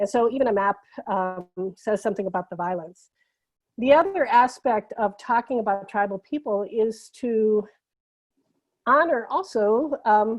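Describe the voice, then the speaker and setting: Leaving long, frequent pauses, a woman with a fairly high pitch speaks at a moderate pace with lively intonation. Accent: American. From United States. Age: 60s. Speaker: anti-racism facilitator. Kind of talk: workshop presentation. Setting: video call. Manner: halting, many fillers.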